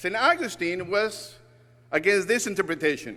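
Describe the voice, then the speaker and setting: Speaking with a Spanish accent, a man uses a raised, projected voice with a bright, sharp tone. His pitch is high with ordinary variation. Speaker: guest preacher, church communication director. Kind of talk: sermon.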